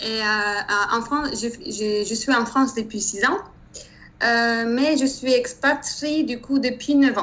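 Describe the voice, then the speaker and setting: A woman with a slight Turkish accent speaks at a very slow pace, her pitch high and its variation ordinary. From Turkey. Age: 30s. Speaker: engineer. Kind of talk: interview. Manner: hesitant, many fillers.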